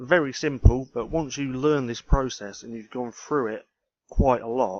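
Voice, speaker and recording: A mumbling man with a British accent, fairly slow, at medium pitch with ordinary pitch variation, against a quiet background. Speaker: ecommerce trainer, YouTuber. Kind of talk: screen-share tutorial. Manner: casual.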